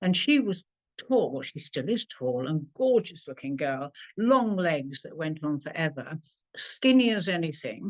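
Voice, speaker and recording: At a fairly slow pace, a woman with a fairly low pitch speaks with very wide pitch swings. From England. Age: 70s. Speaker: clairvoyant and former showgirl. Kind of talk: interview.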